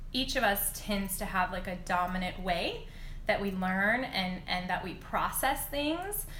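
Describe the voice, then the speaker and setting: A woman speaks very slowly in a calm tone at a medium pitch with fairly even intonation. Room echo is audible. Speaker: reiki teacher and dance instructor. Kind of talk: instagram live talk with guided visualization; guided meditation. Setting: instagram live video. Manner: slower, calm guiding.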